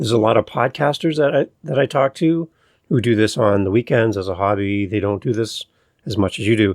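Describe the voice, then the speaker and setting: In a normal speaking voice, a man talks at a moderate pace with a fairly low pitch and lively intonation, the sound dry and close with no echo. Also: very clean recording, silent background. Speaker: podcast host. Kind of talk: podcast interview host.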